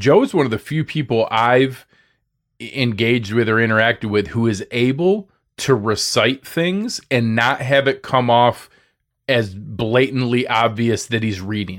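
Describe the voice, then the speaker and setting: A man's animated voice at a fairly slow pace, with ordinary pitch variation, in a very clean recording with a silent background. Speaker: sports podcaster. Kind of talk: casual interview chat. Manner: high energy, animated; distinct speech rhythms.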